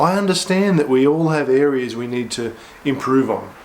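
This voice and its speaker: A man with an Australian accent speaks at a fairly slow pace amid noticeable background noise. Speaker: pastor. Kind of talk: short devotional sermon to camera.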